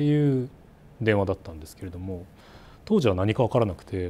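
Very fast, lively intonation from a man with a fairly low pitch and a dark, mellow tone. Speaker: company CEO. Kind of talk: interview. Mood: earnest, reflective. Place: office. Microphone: lapel.

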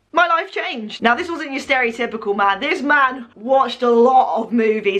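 Lively intonation from a woman. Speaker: vlogger. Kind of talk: casual vlog storytelling.

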